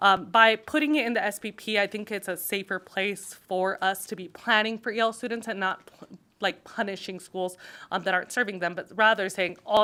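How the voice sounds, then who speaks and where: On a very clean recording with a silent background, a woman speaks fairly quickly in a medium pitch with a bright, sharp tone and ordinary pitch variation. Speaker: state legislator presenting a bill. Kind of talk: legislative committee testimony. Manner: fast.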